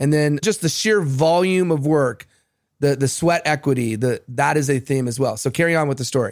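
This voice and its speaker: A man talks in an ordinary speaking voice at a fairly high pitch and moderate pace, with ordinary pitch variation. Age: 40s. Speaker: podcast host. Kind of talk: interview.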